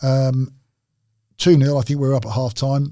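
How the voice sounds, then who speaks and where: A man speaks at medium pitch and a moderate pace. His tone is dark, mellow and somewhat breathy. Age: 60s. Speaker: retired footballer. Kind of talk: casual chat.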